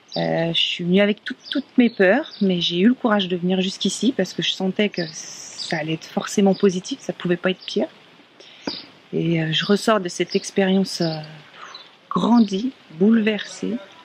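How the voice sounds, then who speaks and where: Woman's voice, dry and close with no echo, against noticeable background noise. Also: medium pitch for a woman, ordinary pitch variation, moderate pace. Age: 30s. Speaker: workshop participant. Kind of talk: testimony.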